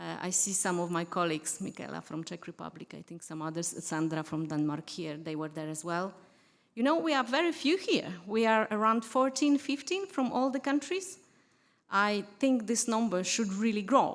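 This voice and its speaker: With a Polish accent, a woman talks in very wide pitch swings. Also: medium pitch for a woman, moderate pace. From Poland. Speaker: diplomat. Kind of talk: conference speech. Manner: halting.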